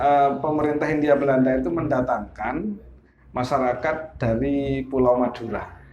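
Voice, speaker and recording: Amid noticeable background noise and audible room echo, a man talks at a moderate pace with a medium pitch and ordinary pitch variation. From Glenmore, Banyuwangi, East Java, Indonesia. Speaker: local history book author. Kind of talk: interview.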